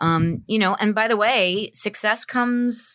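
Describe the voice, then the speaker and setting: The recording is very clean with a silent background. A woman in a New Jersey accent speaks with a bright, sharp tone and lively intonation. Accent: New Jersey American. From northern New Jersey (Bergen County). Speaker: staffing firm founder. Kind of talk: casual interview.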